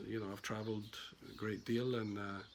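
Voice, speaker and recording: A man with a Glaswegian accent. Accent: Glaswegian Scottish. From Scotland, Glasgow. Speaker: estate agent. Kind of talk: sales pitch. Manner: casual, hesitant with fillers.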